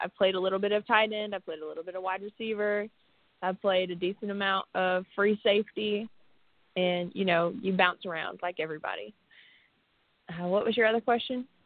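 An unremarkable speaking voice at a fairly quick pace with fairly even intonation. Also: woman, medium pitch for a woman. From Canada, Windsor, Ontario. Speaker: women's football player. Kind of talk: casual chat.

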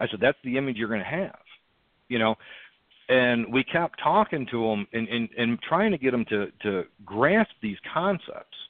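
This man has a normal speaking voice, medium in pitch, and speaks at a moderate pace with lively intonation. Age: 30s. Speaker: militia group leader. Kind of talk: interview, conversational.

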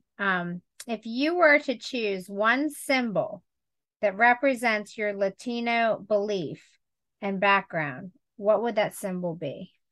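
A normal speaking voice from a woman, medium in pitch, lively in intonation, at a fairly slow pace against a quiet background. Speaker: podcast host. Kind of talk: podcast interview.

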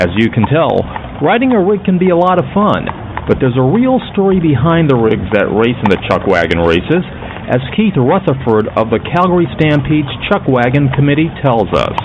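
A man talks at a moderate pace in a fairly high pitch, his pitch swinging very widely. His loudness stays very even, with noticeable background noise. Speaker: radio host. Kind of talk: radio show hosting. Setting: studio.

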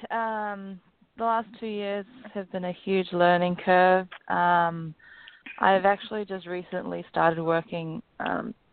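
Ordinary pitch variation runs through a woman's fairly slow, medium-pitched speech with a slight New Zealand accent. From New Zealand, Auckland. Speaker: professional golfer. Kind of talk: interview. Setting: phone call.

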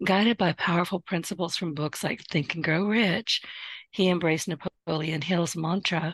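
Putting on a character voice, a woman sounds hoarse at a fairly low pitch, moving at a moderate pace with fairly even intonation. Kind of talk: formal, introducing a guest.

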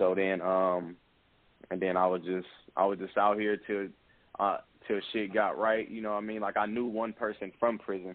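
A man with an American accent, fairly low pitch and monotone, flat intonation, at a moderate pace with long, frequent pauses. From Bay Area, California (Pittsburgh). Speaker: rapper. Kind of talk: casual interview.

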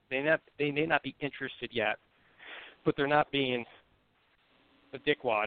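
With a Buffalo accent, a man of fairly high pitch talks at a fairly quick pace and fairly even intonation, breaking into long, frequent pauses. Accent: Western New York (Buffalo) American. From US, Buffalo, New York. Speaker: sales recruiter. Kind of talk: casual chat.

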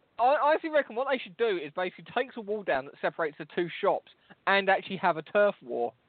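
Someone with a London accent talks at a very fast pace. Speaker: podcast host. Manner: loud, swears a lot.

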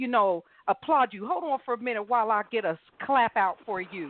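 A woman with a fairly high pitch talks at a moderate speed in a normal speaking voice. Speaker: radio host. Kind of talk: live talk radio show. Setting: phone-in radio show, live. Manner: warm, chatty, laughs often.

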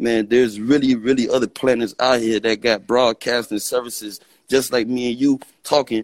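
Here a man speaks with monotone, flat intonation. The sound is dry and close, with no echo. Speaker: caller. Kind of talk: call-in conversation. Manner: rambling, repeats words.

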